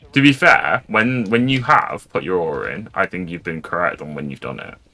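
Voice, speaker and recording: Amid noticeable background noise, a man talks at a moderate pace and medium pitch, with very wide pitch swings. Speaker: streamer. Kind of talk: casual chat. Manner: halting.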